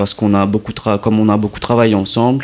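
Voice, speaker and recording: This man's voice is pitched fairly low. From Mauritius. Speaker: documentary filmmaker. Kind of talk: radio interview. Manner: halting.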